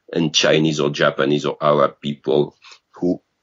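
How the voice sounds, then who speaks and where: Speaking with a French accent, a man lets his voice slip into vocal fry. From France. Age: 50s. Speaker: game designer. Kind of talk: interview. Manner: halting.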